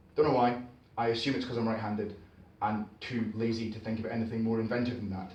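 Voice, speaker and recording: A man talks very fast at a medium pitch. His intonation is monotone and flat, with noticeable background noise behind him. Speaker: performance poet. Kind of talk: live spoken word performance. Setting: live venue, performing for an audience. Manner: conversational, wry, reflective.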